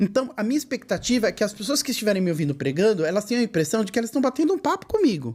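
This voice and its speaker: This man's high voice races along at a very fast pace with hardly any pauses. His pitch swings very widely. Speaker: gospel singer and preacher. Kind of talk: casual chat. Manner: friendly, natural tone.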